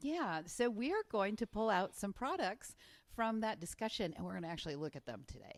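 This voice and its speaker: Loud and animated, a woman speaks at a fairly quick pace with very wide pitch swings around a medium pitch. Vocal fry runs through her voice. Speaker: podcast co-host. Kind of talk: casual chat. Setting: recording studio. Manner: loud, all over the place.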